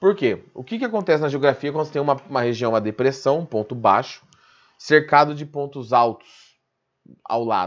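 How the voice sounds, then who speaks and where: The man's pitch is fairly high and swings very widely. The background is quiet. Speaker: physics teacher. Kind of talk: online class lecture. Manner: fast; informal, conversational.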